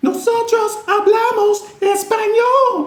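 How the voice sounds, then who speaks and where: A man puts on a squeaky character voice at an extremely high pitch, speaking at a fairly slow pace. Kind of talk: classroom demo.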